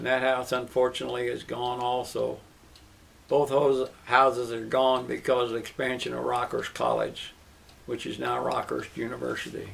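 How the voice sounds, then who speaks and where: At a moderate pace, a speaker with an American accent talks amid noticeable background noise. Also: man. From US Midwest, Kansas City, Missouri. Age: 80s+. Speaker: interviewee sharing life stories. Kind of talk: oral history interview.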